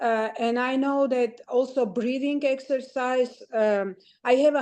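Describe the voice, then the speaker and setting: Over a quiet background, a woman with a high pitch and a dark, mellow tone talks at a fairly slow pace with fairly even intonation. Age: 60s. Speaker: retired biologist. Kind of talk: casual chat. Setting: video call. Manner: halting.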